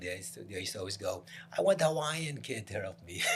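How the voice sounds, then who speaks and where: A somewhat breathy man with an American accent, very fast and lively in intonation. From New Jersey, Piscataway. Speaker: real estate broker. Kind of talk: casual chat.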